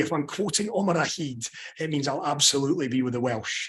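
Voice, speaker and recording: A man's fairly high-pitched voice with a bright, sharp tone, at a fairly quick pace. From Scotland. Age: 30s. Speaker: sports journalist. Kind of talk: panel interview. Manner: animated.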